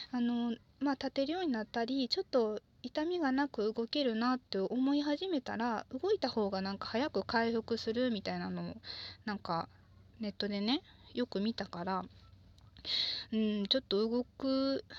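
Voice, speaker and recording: Over a quiet background, a woman in a Kansai accent speaks at a moderate pace with a fairly high pitch, a relaxed tone and lively intonation, in a dry, close sound with no echo. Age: 20s. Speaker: podcaster, office worker. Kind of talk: solo monologue, casual. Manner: relaxed, halting with fillers.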